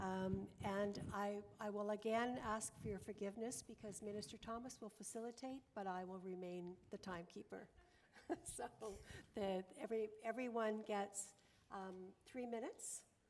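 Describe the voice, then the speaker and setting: A plain, everyday voice from a woman at medium pitch, moderate pace and fairly even intonation. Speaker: parliamentarian, panel co-chair. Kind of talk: panel moderation.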